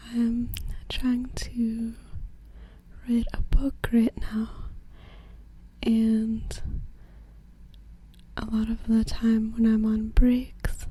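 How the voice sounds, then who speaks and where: Soft-spoken and at a very slow pace, a woman with a fairly high pitch talks in monotone, flat intonation with long, frequent pauses amid noticeable background noise. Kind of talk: casual talk to camera.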